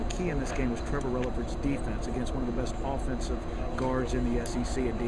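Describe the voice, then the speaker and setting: Very fast talk from a man, with noticeable background noise behind it. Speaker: radio play-by-play sports announcer. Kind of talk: post-game sports analysis, radio broadcast style. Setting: courtside at an arena after the game.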